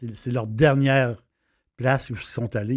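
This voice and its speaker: Here a man speaks in a Quebec accent at a medium pitch with ordinary pitch variation. The recording is very clean and the background silent. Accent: Québécois French. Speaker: wine and travel chronicler. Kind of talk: casual monologue. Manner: halting, many fillers.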